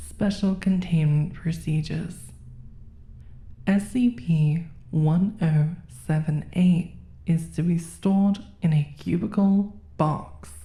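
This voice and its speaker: A woman with a fairly low pitch and a dark, mellow, somewhat breathy tone speaks at a very slow pace with ordinary pitch variation. Her loudness is very even, and her pauses are long and frequent. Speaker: horror narrator. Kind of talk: SCP document readout.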